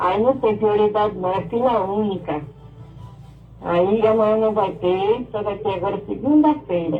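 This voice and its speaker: Delivered at a fairly slow pace with ordinary pitch variation, the speech carries audible room echo over music in the background. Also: woman, medium pitch for a woman. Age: 70s. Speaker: radio listener caller. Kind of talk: call-in complaint.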